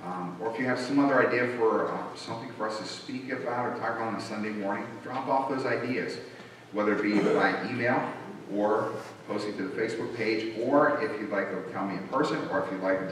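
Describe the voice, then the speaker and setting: There is strong room echo and light background noise as a man talks. He speaks at a fairly quick pace with ordinary pitch variation. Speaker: pastor. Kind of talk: church announcements. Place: church. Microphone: podium.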